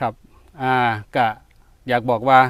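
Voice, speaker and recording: A man with an Isan accent speaks in a dry, close sound with no echo. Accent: Isan-accented Thai. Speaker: retired civil servant, forest garden owner. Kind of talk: casual interview.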